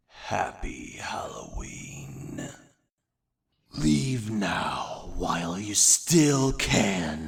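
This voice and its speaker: A put-on character voice from a man, raspy and fairly low in pitch, at a very slow pace. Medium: sound effect. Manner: creepy.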